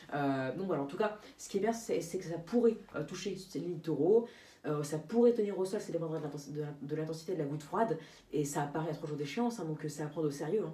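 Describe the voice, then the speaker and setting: Talking at a very fast pace, a woman with a fairly low voice and ordinary pitch variation is heard with audible room echo and noticeable background noise. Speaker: amateur weather forecaster. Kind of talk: weather forecast vlog. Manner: halting, many fillers.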